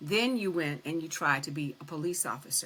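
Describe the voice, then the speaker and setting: Speaking at a fairly quick pace, a woman with a normal speaking voice uses lively intonation. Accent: American. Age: 60s. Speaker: retired prison administrator. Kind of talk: interview.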